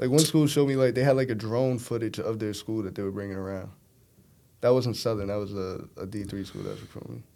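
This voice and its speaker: A man with a New York accent, medium pitch, a dark, mellow tone, a very fast pace, and big swings in loudness. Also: ordinary pitch variation. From Brooklyn, New York. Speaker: college football quarterback. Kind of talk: casual chat.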